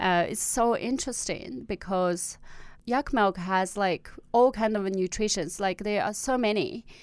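A woman with a Tibetan accent speaks at a fairly slow pace with a medium pitch and lively intonation. The recording is very clean, with a silent background. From Tibetan area of northwest China. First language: Tibetan (Amdo). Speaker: small business founder. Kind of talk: casual interview. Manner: hesitant, many fillers.

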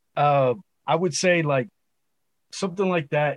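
A man with a fairly high pitch speaks in a somewhat breathy way and with fairly even intonation. The sound is dry and close with no echo, over a quiet background. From Los Angeles, California. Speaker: rapper. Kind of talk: casual interview. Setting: video call.

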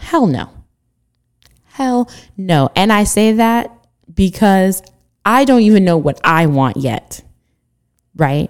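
Speaking very slowly, a woman keeps a medium pitch but swings it very widely. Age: 20s. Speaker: podcast host. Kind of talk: solo monologue podcast. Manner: halting.

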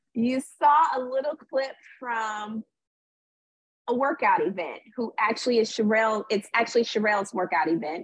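A woman with an ordinary speaking voice talks at a moderate pace. Her pitch is fairly high, and her intonation is lively. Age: 40s. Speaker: reality TV personality and author. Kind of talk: casual interview.

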